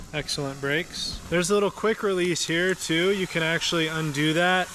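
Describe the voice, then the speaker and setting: Behind the man's voice there is noticeable background noise. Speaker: product reviewer / YouTuber. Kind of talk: product review tutorial. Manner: casual, enthusiastic.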